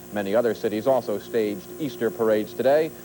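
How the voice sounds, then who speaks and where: The speech moves at a fairly quick pace, with music playing in the background. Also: man. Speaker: news anchor. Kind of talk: TV news anchor read.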